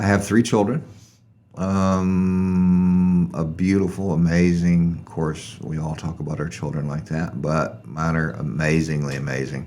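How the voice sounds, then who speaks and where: There is audible room echo as a man with a Southern US accent speaks at a fairly slow pace. His pitch is very deep and low, with ordinary variation. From US South, Arkansas (North Little Rock). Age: 60s. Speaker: guest, former chef. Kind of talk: casual interview chat. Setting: studio.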